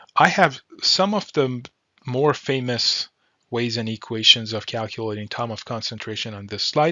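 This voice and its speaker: This is a man with a medium-pitched voice. He speaks with a non-native accent. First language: not English. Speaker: hydrology professor. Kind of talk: lecture. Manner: halting, with fillers.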